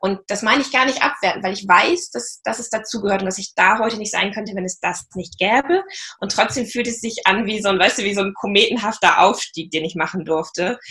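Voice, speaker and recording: With hardly any pauses, a woman talks at a fairly quick pace in an unremarkable speaking voice, medium in pitch with ordinary pitch variation. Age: 40s. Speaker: practice and marketing manager. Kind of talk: interview.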